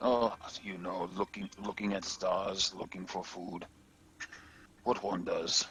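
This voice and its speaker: Using a put-on character voice, a man speaks fairly slowly at a fairly low pitch, with long, frequent pauses. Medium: actual play. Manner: clipped, broken grammar.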